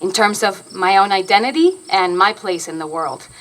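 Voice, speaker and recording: Her tone is bright and sharp, at a medium pitch. The woman speaks at a moderate pace in a Spanish accent. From Argentina. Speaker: stage actor. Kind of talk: public lecture.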